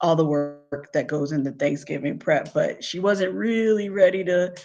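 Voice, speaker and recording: Music plays in the background as a woman with a fairly low pitch speaks at a moderate pace with ordinary pitch variation. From US Northeast, Philadelphia. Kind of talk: casual live stream chat. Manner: loud.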